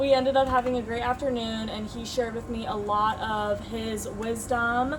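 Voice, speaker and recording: Intonation is monotone and flat. Background noise is noticeable. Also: woman, fairly high pitch for a woman, moderate pace. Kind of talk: podcast intro.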